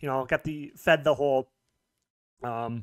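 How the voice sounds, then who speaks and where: Against a quiet background, a man with an American accent speaks with fairly even intonation. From US. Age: 30s. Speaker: YouTuber. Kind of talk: personal story monologue. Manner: halting; casual, rambling delivery. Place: home room. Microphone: studio mic.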